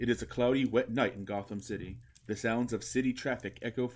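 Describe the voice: The voice is plain reading aloud. Nothing more is added to it.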